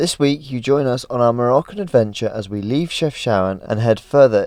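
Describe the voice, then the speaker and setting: Over a quiet background, a man uses an ordinary speaking voice with lively intonation at a moderate pace. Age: 20s. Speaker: vlogger. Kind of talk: travel vlog narration. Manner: casual, conversational.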